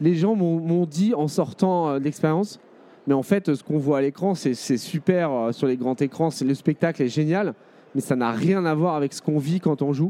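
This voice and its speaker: Dark, mellow tone at a moderate pace, with ordinary pitch variation. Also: man, fairly high pitch for a man. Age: 30s. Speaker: video game company co-founder. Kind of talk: interview at a trade show. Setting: trade show stand. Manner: hesitant, many fillers.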